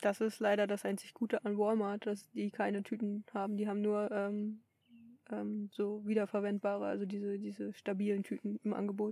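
A woman's medium-pitched voice, dark and mellow in tone, with monotone, flat intonation at a moderate pace. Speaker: podcast host, long-distance cyclist. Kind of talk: casual chat.

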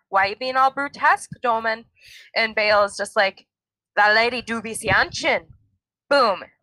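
Speaking at a fairly slow pace, a woman has a fairly high pitch and a bright, sharp tone, her sound dry and close with no echo. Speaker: podcast host. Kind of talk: casual chat.

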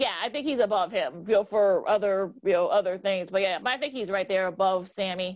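A woman with an American accent and an ordinary speaking voice, medium in pitch, with ordinary pitch variation and a fairly quick pace. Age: 40s. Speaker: sports podcast co-host. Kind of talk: casual sports talk. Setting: video call.

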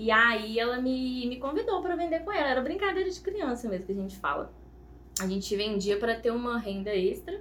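Her pitch is high and swings very widely. The woman talks at a fairly quick pace, with audible room echo. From Minas Gerais, Brazil (Ponte Nova, Viçosa). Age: 20s. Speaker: confectioner, small business owner. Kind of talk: casual podcast interview.

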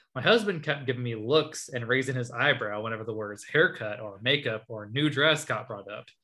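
With an American accent and a plain, everyday voice, a man at medium pitch talks at a fairly quick pace with hardly any pauses, ordinary pitch variation, and big swings in loudness. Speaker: podcast co-host. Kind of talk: casual chat.

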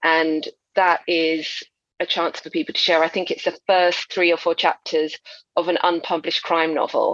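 In a southern English accent, a woman speaks at a fairly low pitch with monotone, flat intonation, the sound dry and close with no echo. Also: moderate pace. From Essex, England. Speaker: crime novelist. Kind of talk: interview.

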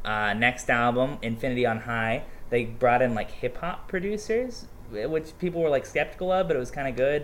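In an American accent, this is an unremarkable speaking voice at a moderate pace with lively intonation. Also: man, fairly high pitch for a man. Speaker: podcast guest. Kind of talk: casual chat.

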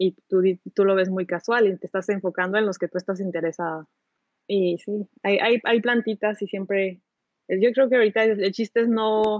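Using fairly even intonation, a woman with a Mexican accent speaks at a moderate pace. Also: medium pitch for a woman. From Mexico. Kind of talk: casual chat.

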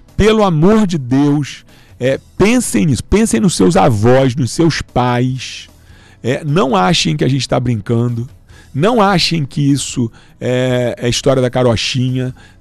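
Very slowly, a man at medium pitch speaks with very wide pitch swings. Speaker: doctor and health official. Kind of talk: radio interview. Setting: radio studio. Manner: halting, many fillers.

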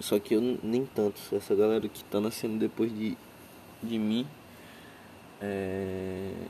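A man speaks very slowly, with long, frequent pauses and fairly low pitch. His tone is dark and mellow, and his intonation monotone and flat. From Brazil, Acre (Rio Branco). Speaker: podcaster. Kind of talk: casual monologue. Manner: relaxed, laid-back.

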